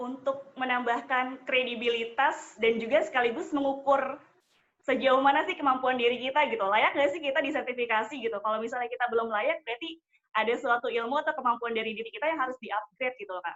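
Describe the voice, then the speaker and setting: A woman's voice, high in pitch with ordinary pitch variation, at a very fast pace. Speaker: wedding MC. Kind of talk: interview. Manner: formal.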